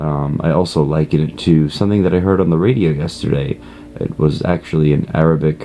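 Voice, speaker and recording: A quiet man speaks at a moderate pace with a very deep, low pitch and fairly even intonation. Noticeable background noise can be heard. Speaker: online course student. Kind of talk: self-introduction monologue. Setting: at a friend's house. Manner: quiet, low volume; hesitant, many fillers.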